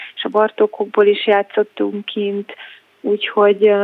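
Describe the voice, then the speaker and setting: A woman's medium-pitched voice moves along at a fairly slow pace. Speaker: jazz singer. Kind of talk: radio interview. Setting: phone call. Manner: halting.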